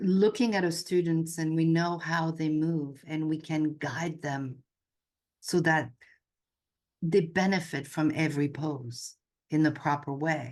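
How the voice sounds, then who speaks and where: A woman speaks with a French accent at a fairly low pitch and fairly even intonation. Her pace is very slow, with long, frequent pauses. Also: quiet background. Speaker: yoga instructor and intuitive coach. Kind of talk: casual chat.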